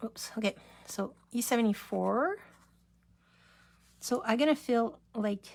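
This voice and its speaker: A woman's fairly high voice at a fairly slow pace, with ordinary pitch variation and long, frequent pauses. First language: French. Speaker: craft demonstrator. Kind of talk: live craft tutorial. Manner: casual, halting.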